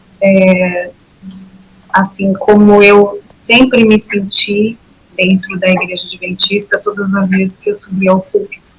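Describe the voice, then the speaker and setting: Over music in the background, a woman speaks at a very slow pace in a monotone, flat intonation. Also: medium pitch for a woman. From São Paulo city, Brazil. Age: 60s. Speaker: former church member giving testimony. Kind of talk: testimony.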